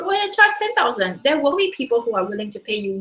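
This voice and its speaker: Bright and sharp in tone, a woman with a Singaporean accent sweeps through very wide pitch swings. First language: not English. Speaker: business coach. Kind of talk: webinar talk. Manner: animated.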